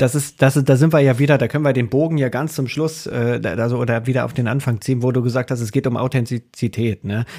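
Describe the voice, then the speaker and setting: A man with a dark, mellow tone and medium pitch talks at a very fast pace with hardly any pauses and fairly even intonation, on a very clean recording with a silent background. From eastern Germany. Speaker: podcast co-host. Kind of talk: casual interview.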